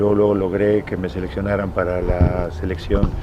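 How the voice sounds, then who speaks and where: A man talks at a fairly low pitch and a moderate pace. Noticeable background noise runs throughout. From Mexico, Morelos. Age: 60s. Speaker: retired football goalkeeper. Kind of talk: interview. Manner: halting.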